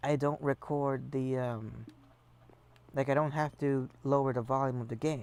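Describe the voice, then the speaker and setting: A soft-spoken man at medium pitch with monotone, flat intonation. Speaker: gaming streamer. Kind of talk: casual gameplay commentary. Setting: live stream. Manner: casual with fillers.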